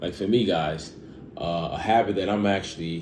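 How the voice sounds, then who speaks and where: A man's very deep, low pitch with ordinary pitch variation and audible room echo. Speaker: fitness vlogger. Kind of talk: casual vlog monologue. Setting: at home. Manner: halting, stuttering.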